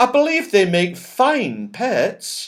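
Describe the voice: In a put-on character voice, a man speaks slowly with a high pitch, a fairly bright tone, and very wide pitch swings.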